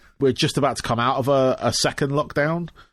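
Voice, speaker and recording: Recorded very cleanly with a silent background, a man speaks at a medium pitch. He talks with an English accent. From England. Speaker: podcast host. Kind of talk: casual interview chat. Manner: halting, many fillers.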